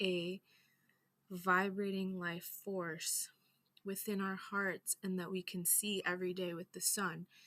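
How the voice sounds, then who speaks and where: A woman's shaky voice stays at a medium pitch with monotone, flat intonation. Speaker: astrology and culture teacher. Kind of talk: lecture. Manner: shaky voice on powerful topics.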